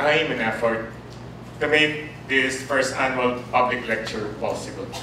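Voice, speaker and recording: Audible room echo surrounds a man's voice. There is light background noise as well. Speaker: university lecturer. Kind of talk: lecture. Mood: warm, lightly humorous. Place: classroom.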